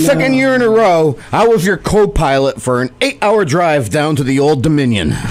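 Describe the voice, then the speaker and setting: Over noticeable background noise, a man with a fairly high pitch talks at a moderate pace with hardly any pauses and very wide pitch swings. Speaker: radio host. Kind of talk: humorous monologue narration.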